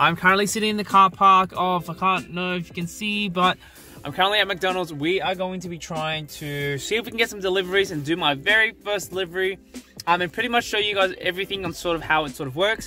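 Over faint music in the background, a man talks very fast at a high pitch with ordinary pitch variation, the sound dry with no echo. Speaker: vlogger. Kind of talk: casual vlog chat. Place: car. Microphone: phone near.

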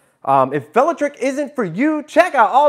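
A man's voice with very wide pitch swings. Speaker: e-bike channel host. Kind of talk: casual live stream chat. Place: home room.

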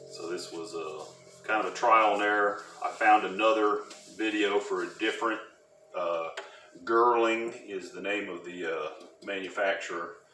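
There's audible room echo and light background noise as a man speaks. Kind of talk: tutorial. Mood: relaxed, matter-of-fact. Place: workshop. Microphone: camera far.

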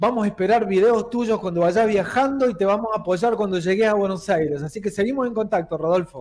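With a normal amount of pitch movement, a man talks at a medium speed. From Argentina. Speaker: local news show host. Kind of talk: interview. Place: studio.

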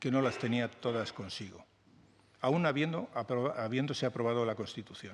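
A man speaks with a medium pitch. His pitch varies in an ordinary way. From Spain. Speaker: journalist and book author; journalist. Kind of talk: interview at a book presentation. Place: meeting room. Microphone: podium.

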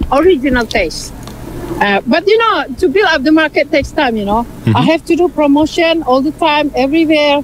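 Speech comes at a fairly quick pace with lively intonation and an Indonesian accent. The sound is dry with no echo, and there is light background noise. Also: woman, high pitch for a woman. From Indonesia (West Sumatra). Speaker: entrepreneur, importer; interviewee. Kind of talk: interview. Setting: outdoors at a festival. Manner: hesitant, with fillers. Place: market. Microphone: video call.

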